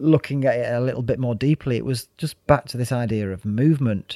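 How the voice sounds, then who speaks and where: A man with a medium pitch speaks in a Mancunian accent. The recording is very clean with a silent background, its sound dry and close with no echo. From Manchester, northern England. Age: 50s. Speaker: yoga teacher and former club DJ. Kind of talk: casual interview chat.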